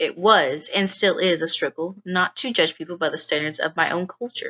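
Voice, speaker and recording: A woman with a Texan accent speaks at a medium pitch. Her pace is moderate and her pitch variation ordinary. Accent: Texas accent, becoming more pronounced. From East Texas. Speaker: student. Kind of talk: scripted narration.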